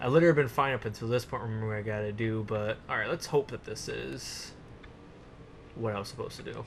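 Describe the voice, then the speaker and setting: Very fast and somewhat breathy, a man talks at a medium pitch with ordinary pitch variation. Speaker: gaming YouTuber. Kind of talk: let's play commentary. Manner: soft-spoken. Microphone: voice reported too quiet.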